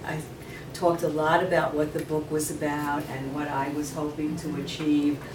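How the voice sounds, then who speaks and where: With a New York accent, a woman speaks at a fairly slow pace in a very deep, low pitch. Noticeable background noise and audible room echo are present. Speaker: novelist. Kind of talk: author Q&A. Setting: room with live audience.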